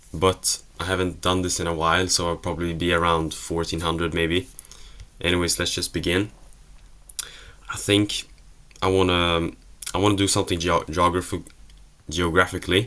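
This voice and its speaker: Speaking at a moderate pace with a Swedish accent, this voice leaves long, frequent pauses. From Sweden. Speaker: geography video creator. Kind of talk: casual solo commentary while playing a quiz. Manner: hesitant, self-correcting.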